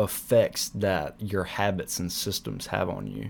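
Speaking at a very slow pace, a man talks in an American accent. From US South, South Carolina. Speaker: podcaster and university student. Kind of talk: solo podcast monologue.

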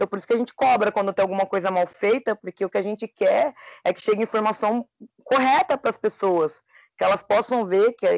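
Against a quiet background, a woman uses a plain, everyday voice at medium pitch with ordinary pitch variation, the sound dry and close with no echo. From São Paulo city. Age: 20s. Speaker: podcast co-host. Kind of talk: casual chat.

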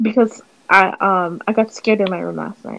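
A woman speaks at a moderate pace in an unremarkable speaking voice. Her pitch variation is ordinary. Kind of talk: casual chat. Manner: casual, chatty.

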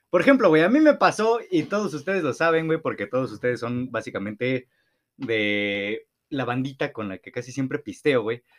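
On a very clean recording with a silent background, a man with a medium pitch talks at a moderate pace with very wide pitch swings. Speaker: podcast co-host. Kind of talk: casual chat. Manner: stumbles over words.

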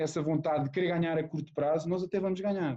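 A man speaks at a very fast pace in a high pitch with a dark, mellow tone and fairly even intonation. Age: 40s. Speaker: rugby player. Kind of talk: casual interview.

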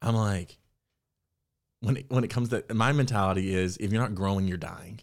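A man with a normal speaking voice and fairly low pitch, on a very clean recording against a silent background. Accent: American. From Texas. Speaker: actor. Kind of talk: casual interview chat.

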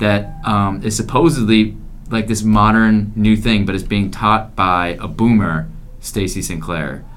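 A man speaks in an unremarkable speaking voice, fairly low in pitch with ordinary pitch variation. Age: young. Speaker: college student podcaster. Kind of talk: casual chat. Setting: dorm floor at night.

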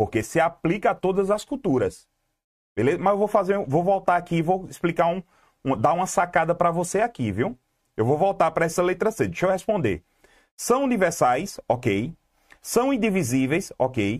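With an animated tone and very wide pitch swings, a man speaks at a high pitch while keeping his loudness very even. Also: moderate pace. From Brazil, Pernambuco (Garanhuns area). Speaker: exam-prep teacher. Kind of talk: live online class. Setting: YouTube livestream.

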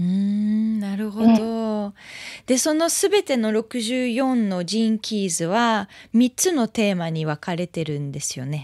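In a very clean, dry, close recording with a silent background and no echo, a woman speaks very slowly with fairly high pitch, lively intonation and a dark, mellow tone. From France (Paris). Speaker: podcast host, singer-songwriter. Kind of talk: casual interview. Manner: halting.

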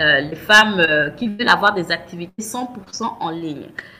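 Very wide pitch swings mark this woman's speech. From Gabon. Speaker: business coach. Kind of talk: interview. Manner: halting, many repetitions.

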